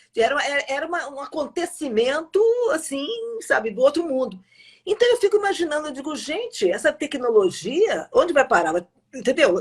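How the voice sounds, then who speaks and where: This woman's pitch is high and swings very widely. She talks at a moderate pace. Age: 60s. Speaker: journalist and live-stream host. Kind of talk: casual interview. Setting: live stream.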